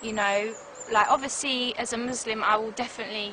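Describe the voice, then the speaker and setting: Over noticeable background noise, a woman with a fairly high voice talks at a very fast pace. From South London, England. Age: 20s. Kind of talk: interview testimony.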